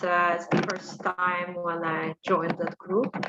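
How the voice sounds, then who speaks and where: Fairly slow speech from a woman at medium pitch, over noticeable background noise. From Ukraine. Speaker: HR professional. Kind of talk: self-introduction.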